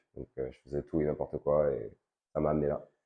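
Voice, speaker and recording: A man talks at a fairly quick pace. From Paris suburbs, France (Val-de-Marne). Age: 20s. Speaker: fitness coach and gym owner. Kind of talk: interview. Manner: hesitant, many fillers.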